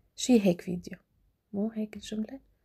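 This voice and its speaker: A woman speaks at a moderate pace and medium pitch, with fairly even intonation and a dark, mellow, somewhat breathy tone. The recording is dry and close, with no echo. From Syria, Damascus. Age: 20s. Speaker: vlogger. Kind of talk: casual Q&A vlog. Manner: halting, with fillers.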